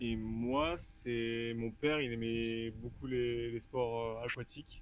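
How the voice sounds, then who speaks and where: In a monotone, flat intonation, a man talks at a medium pitch. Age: 20s. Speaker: water polo player. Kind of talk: casual interview.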